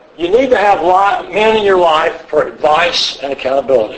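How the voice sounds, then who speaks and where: A man speaks at a fairly slow pace with very wide pitch swings. Noticeable background noise is audible. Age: 70s. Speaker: church elder teaching a men's class. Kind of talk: lecture. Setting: retreat classroom with live audience.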